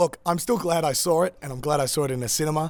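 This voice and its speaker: In an Australian accent, a man speaks at a very fast pace. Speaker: film reviewer. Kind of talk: casual review monologue. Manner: many fillers (uh, um).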